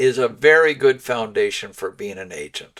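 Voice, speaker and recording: Ordinary pitch variation marks this man's speech. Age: 70s. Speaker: podcast host, realtor. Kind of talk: casual interview chat. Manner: animated.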